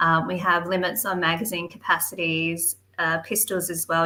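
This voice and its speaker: With an Australian accent, a woman speaks in a bright, sharp tone at a fairly low pitch and a moderate pace, her intonation fairly even. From Western Australia. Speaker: political activist. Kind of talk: casual interview chat.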